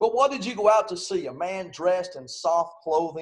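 A man talks with lively intonation, and the background is quiet. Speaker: preacher. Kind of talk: sermon. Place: home room.

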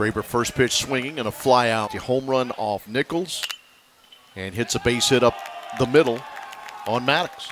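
Over crowd noise in the background, a man with a medium pitch talks at a moderate pace with ordinary pitch variation and long, frequent pauses. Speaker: play-by-play announcer. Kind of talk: live baseball play-by-play, clipped highlight calls of each pitch and play. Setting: broadcast booth at the ballpark. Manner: steady, matter-of-fact narration between plays.

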